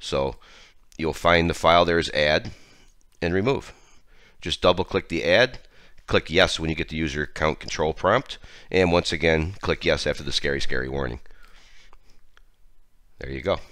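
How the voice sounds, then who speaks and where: Over a silent background in a very clean recording, a man with a very deep, low voice, vocal fry and a bright, sharp tone speaks at a moderate pace with ordinary pitch variation and long, frequent pauses. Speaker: tech tutorial host. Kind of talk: software tutorial screencast narration. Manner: casual.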